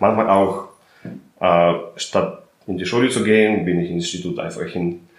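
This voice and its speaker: Fairly low in pitch with ordinary variation, a man speaks at a moderate pace. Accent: Russian. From Russia. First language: Russian (speaking German). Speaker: chemist and company founder. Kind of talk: interview.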